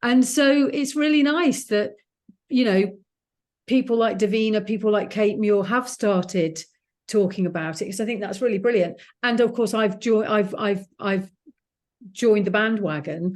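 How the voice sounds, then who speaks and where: A woman with an English accent speaks at a moderate pace in a fairly high voice with ordinary pitch variation, over a quiet background. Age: 60s. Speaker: author. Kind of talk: casual chat.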